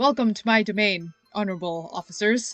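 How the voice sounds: A put-on character voice, resonant and fairly high in pitch, moves at a fairly quick pace over music in the background.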